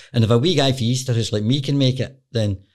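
A man with a Glaswegian accent talks at a very fast pace, somewhat breathy, with ordinary pitch variation. The recording is very clean, with a silent background. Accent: Glaswegian Scottish. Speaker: football agent. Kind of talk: interview.

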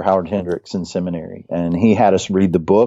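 Very deep, low speech from a man with an American accent, at a fairly quick pace. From West Virginia. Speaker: church planting trainer and author. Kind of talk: interview conversation.

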